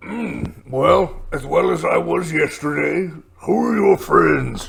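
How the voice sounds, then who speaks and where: Using a put-on character voice, a raspy man speaks at a fairly slow pace. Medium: actual play. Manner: terse, dry.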